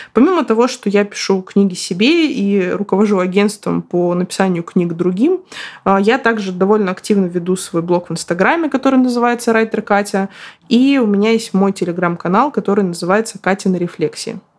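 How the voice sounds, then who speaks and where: A woman with a plain, everyday voice, medium pitch, ordinary pitch variation, very even loudness, and a fairly quick pace. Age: 30s. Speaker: podcast host, writer. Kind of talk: solo podcast monologue.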